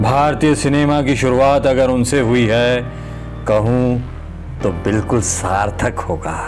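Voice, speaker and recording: Music plays behind a man of medium pitch. His pitch varies in an ordinary way, and his loudness stays very even. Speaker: voice-over narrator. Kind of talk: documentary biography narration.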